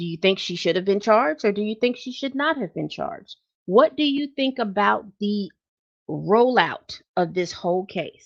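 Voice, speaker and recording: Against a quiet background, a woman uses a normal speaking voice at a medium pitch, with lively intonation and a moderate pace. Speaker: celebrity news commentator. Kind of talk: casual vlog commentary.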